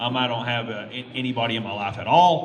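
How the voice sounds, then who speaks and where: Amid noticeable background noise and audible room echo, a man with a Texan accent talks at medium pitch and a moderate pace with ordinary pitch variation. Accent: Texan (Southern US). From Texas. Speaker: YouTuber. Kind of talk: convention panel talk. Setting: stage with audience. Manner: halting, many fillers.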